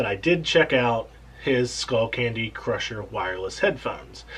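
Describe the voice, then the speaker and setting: Lively intonation marks a man's somewhat breathy voice. He keeps a moderate pace. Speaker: tech reviewer. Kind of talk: casual talk to camera.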